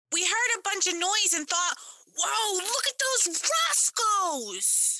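In a put-on character voice, the speaker uses an extremely high pitch at a fairly slow pace. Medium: audio drama. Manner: slangy, wisecracking.

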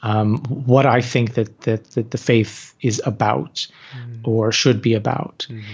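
A man's somewhat breathy voice, medium in pitch, at a fairly slow pace, with fairly even intonation and big swings in loudness. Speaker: author and activist. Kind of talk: casual interview conversation.

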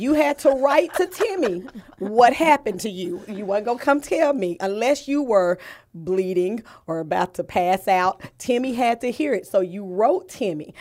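In an American accent, a woman's voice shows very wide pitch swings on a very clean recording with a silent background. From Fort Worth, Texas. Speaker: district academics administrator. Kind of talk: casual podcast chat.

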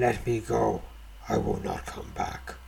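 A man performs a put-on character voice. Clear background noise runs behind him. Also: fairly slow pace. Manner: growling.

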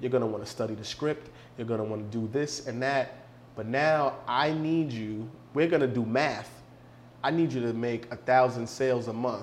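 Audible room echo surrounds a man with an American accent and medium pitch. He speaks at a moderate pace with fairly even intonation. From New York City. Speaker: behavioral psychology consultant. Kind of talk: casual chat.

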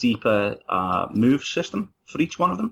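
Lively intonation marks this voice with a Liverpool accent. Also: man. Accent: Scouse (Liverpool). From Liverpool, England. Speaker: university student and former soldier. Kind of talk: casual chat.

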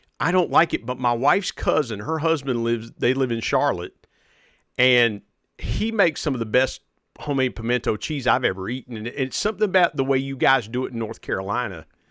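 Speaking at a fairly quick pace with lively intonation, a man with an American accent has a bright, sharp tone at a medium pitch against a quiet background. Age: 40s. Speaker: podcast host, guest. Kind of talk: casual chat. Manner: animated.

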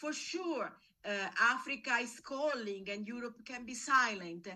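With an Italian accent, a woman speaks in a high, bright, sharp voice at a fairly slow pace. Her intonation is lively. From Italy. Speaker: investigative journalist. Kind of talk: interview. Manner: halting.

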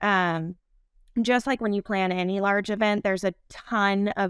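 Recorded very cleanly against a silent background, a woman uses an ordinary speaking voice at a medium pitch and moderate pace, with fairly even intonation and a dry, close sound with no echo. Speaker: marketing manager. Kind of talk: casual interview.

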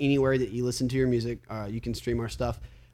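A man with a Southern US accent. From US South (Alabama). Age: 20s. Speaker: metalcore singer. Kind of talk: casual chat.

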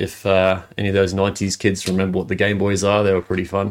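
Speaking at a fairly quick pace, a man with a very deep, low pitch talks with an Australian accent. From Adelaide, South Australia. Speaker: former junior footballer. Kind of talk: interview.

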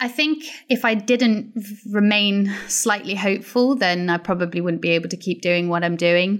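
A woman speaks in a Welsh accent. Her pitch varies in an ordinary way. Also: medium pitch for a woman, moderate pace. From Wales, Pembrokeshire. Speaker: marine biologist. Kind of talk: interview conversation.

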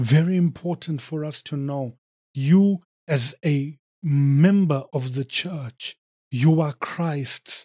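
A man speaks at a very slow pace in a fairly high pitch, with ordinary pitch variation. His tone is dark, mellow and somewhat breathy, and the sound is dry and close with no echo. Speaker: preacher. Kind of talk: sermon. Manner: fervent, exhorting, pleading with listeners; emphatic, punchy, declaiming in short rhythmic phrases.

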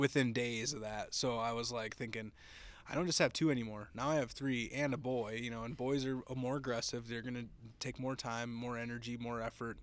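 A man speaks at a fairly quick pace with an American accent, his pitch medium and his intonation flat and monotone. The recording is very clean, with a silent background. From Minnesota. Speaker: hunting guide and entrepreneur. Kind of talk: casual interview.

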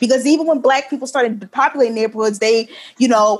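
With an American accent, a woman talks at a very fast pace, her fairly high pitch showing ordinary variation. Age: 20s. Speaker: author and editor. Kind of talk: interview.

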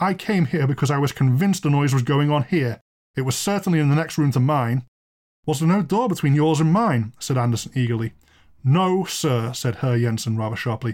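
This man has an ordinary speaking voice, fairly high in pitch. His intonation is lively and his pace moderate. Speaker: podcast host and storyteller. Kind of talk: ghost story reading aloud, dramatic narration with character dialogue.

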